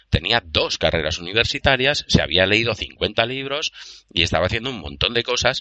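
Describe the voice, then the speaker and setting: Vocal fry colors a man's medium-pitched voice. He moves at a fairly quick pace with lively intonation. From Spain, province of Castellón. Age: 40s. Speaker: livestream co-host. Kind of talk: casual chat.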